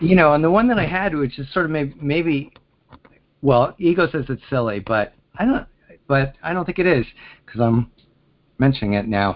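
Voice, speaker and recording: Pausing long and often, a man with an American accent speaks at a moderate pace in a fairly high pitch with very wide pitch swings. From Pennsylvania. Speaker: caller. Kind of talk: casual chat. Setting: phone call. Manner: halting.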